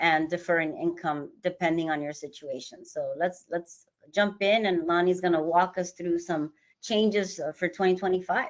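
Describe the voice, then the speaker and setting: Speaking at a moderate pace in a normal speaking voice, a woman with fairly low pitch keeps her intonation fairly even. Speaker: financial advisory firm executive. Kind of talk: webinar presentation. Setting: online webinar.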